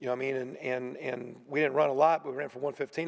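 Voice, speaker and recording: Very fast and flat, a man delivers his words in a monotone. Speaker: college football head coach. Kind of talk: press conference. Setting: media room.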